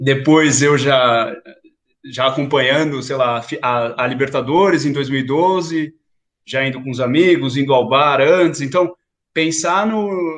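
A man talks at a very slow pace. His fairly high pitch shows ordinary variation. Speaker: museum educator. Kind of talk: interview.

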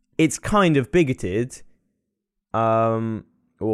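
A man speaks at a very slow pace, his pitch medium with ordinary variation. The sound is dry and close with no echo, in a very clean recording over a silent background. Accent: English. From England. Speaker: podcast co-host. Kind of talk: casual chat. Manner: frequent laughter.

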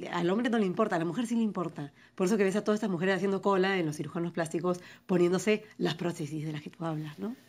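A woman in a medium pitch rattles along very fast, her pitch varying in an ordinary way. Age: 40s. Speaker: writer and poet. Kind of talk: interview. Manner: articulate, fluent.

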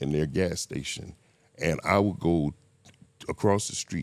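In a very deep, low pitch with vocal fry, a man speaks with ordinary pitch variation. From Miami, Florida (Liberty City). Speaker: person in addiction recovery. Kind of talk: casual interview, life story.

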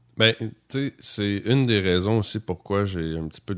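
On a very clean recording with a silent background, a man with a Quebec accent speaks at a fairly slow pace with ordinary pitch variation. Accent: Québécois French. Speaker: podcast host. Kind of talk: casual chat. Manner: halting.

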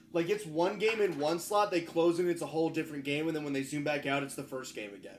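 A man with a fairly high pitch speaks at a very fast pace, with hardly any pauses. His pitch varies in an ordinary way over noticeable background noise. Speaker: anime podcast co-host. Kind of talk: casual chat.

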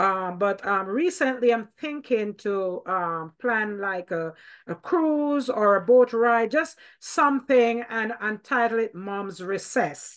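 Against a quiet background, a woman with a fairly high pitch and lively intonation speaks at a very slow pace. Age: 50s. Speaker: podcast host. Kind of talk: casual interview.

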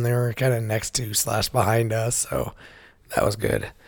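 Medium pitch from a man, somewhat breathy, flat and monotone, at a moderate pace. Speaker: podcast host. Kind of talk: casual podcast chat. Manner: soft, sparing speech.

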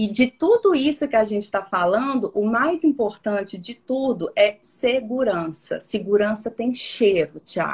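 Speaking at a fairly slow pace with hardly any pauses, a woman uses lively intonation, a fairly high pitch and a somewhat breathy sound. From Minas Gerais interior, Brazil (Porteirinha). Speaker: personal branding consultant. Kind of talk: interview conversation.

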